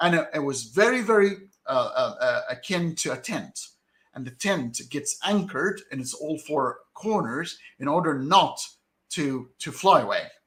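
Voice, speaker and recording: A man with an Arabic accent speaks in a high pitch. He goes at a fairly slow pace, and his pitch swings very widely. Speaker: debater critical of Quran science claims. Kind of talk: heated debate. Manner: halting, many repetitions and fillers.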